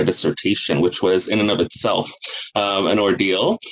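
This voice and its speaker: A man speaks with a fairly low pitch and fairly even intonation. Noticeable background noise is present. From Guyana. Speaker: counselor educator. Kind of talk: interview.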